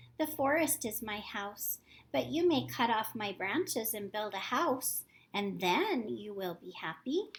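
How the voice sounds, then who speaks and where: Using a put-on character voice, a woman speaks at a fairly slow pace in a fairly high pitch on a very clean recording with a silent background. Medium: read story. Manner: gentle, tender.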